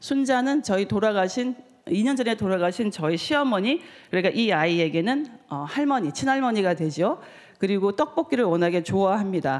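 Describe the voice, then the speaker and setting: The woman's pitch swings very widely. She talks at a fairly quick pace. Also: medium pitch for a woman. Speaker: novelist. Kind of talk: conference talk. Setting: stage with audience. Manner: halting.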